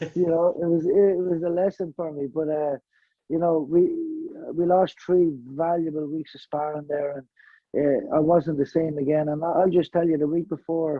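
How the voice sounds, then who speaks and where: This man's pitch is fairly high and his intonation monotone and flat. He keeps a moderate pace. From Ireland. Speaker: professional boxer. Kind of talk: interview. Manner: halting, many fillers.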